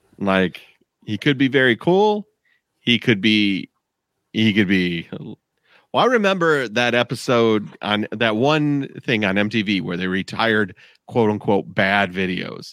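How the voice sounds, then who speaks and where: Speaking fairly slowly in an ordinary speaking voice, a man has a fairly low pitch and ordinary pitch variation, recorded very cleanly with a silent background and a dry, close sound with no echo. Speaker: podcast host. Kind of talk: casual chat.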